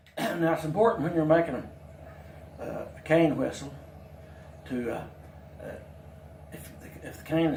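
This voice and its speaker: Amid noticeable background noise and audible room echo, a man speaks at a moderate pace. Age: 70s. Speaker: craftsman demonstrating whittling. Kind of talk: tutorial. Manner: halting, with fillers and restarts.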